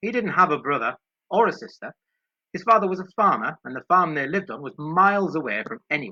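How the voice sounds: The background stays quiet. A natural reading voice carries the clip.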